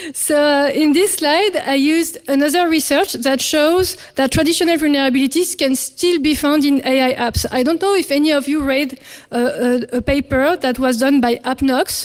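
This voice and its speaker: The speech has hardly any pauses, ordinary pitch variation and very even loudness. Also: woman, high pitch for a woman. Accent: French. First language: French. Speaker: security researcher. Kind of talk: conference talk. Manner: hesitant, many fillers; fast.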